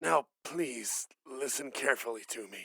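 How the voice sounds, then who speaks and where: Raspy, put-on character voice from a man at medium pitch. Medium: audio drama. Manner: calm, careful instructions.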